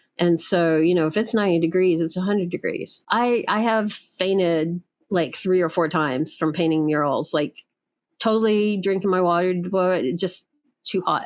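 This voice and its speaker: A woman with an American accent speaks in a plain, everyday voice at a moderate pace, with ordinary pitch variation and very even loudness. The recording is very clean, with a silent background. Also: medium pitch for a woman. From US South. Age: 50s. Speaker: artist. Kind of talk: casual chat.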